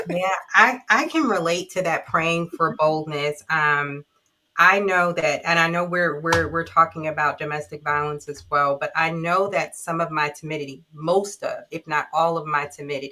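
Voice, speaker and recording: The voice has a bright, sharp tone and fairly even intonation. It moves at a moderate pace. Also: woman, fairly low pitch for a woman. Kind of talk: casual discussion. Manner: soft-spoken, keeps voice low.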